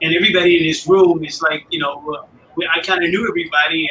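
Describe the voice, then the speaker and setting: Over noticeable background noise, a man with a Chicago accent talks fairly quickly in a high, monotone, flat voice. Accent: Chicago American English. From US Midwest, Chicago area. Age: 60s. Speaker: motorcycle club founder. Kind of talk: interview.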